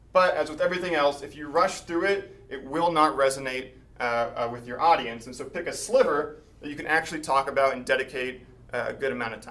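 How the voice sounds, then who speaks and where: Over noticeable background noise and audible room echo, a man speaks at a very fast pace and a fairly high pitch, with ordinary pitch variation and big swings in loudness. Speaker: mathematician giving a talk. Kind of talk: lecture.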